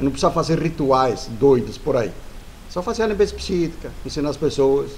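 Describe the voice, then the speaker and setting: Fairly high male voice with lively intonation. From Italy. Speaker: spiritual teacher. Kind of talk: casual talk to camera. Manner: fast; muddled, halting.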